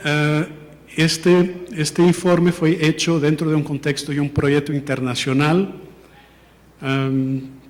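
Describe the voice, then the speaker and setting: A Portuguese accent at a very slow pace, fairly even in intonation, with long, frequent pauses and noticeable background noise. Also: man. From Portugal. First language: Portuguese (speaking Spanish). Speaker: international education policy analyst. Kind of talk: formal presentation. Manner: halting, with false starts.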